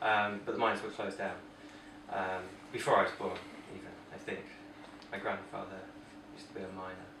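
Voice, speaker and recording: With an East Midlands accent, the speaker goes at a very fast pace broken by long, frequent pauses, in a flat monotone, against noticeable background noise and audible room echo. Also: man, fairly low pitch for a man, big swings in loudness. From English East Midlands, Heanor, Derbyshire. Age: 30s. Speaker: interviewee. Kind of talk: casual chat. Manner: hesitant.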